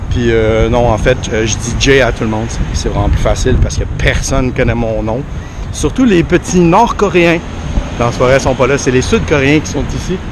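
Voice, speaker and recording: Noticeable background noise and audible room echo surround a man who talks at a moderate pace. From Quebec. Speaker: travel vlogger. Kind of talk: vlog commentary while walking. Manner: hesitant, many filler sounds.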